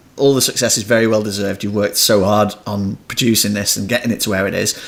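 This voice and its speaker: A man at a very fast pace, fairly low-pitched and monotone, flat in intonation, with noticeable background noise. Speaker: podcast host. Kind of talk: podcast interview.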